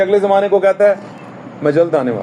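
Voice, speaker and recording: A man speaks at a high pitch. Background noise is noticeable. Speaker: church pastor delivering a sermon. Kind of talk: sermon to a congregation.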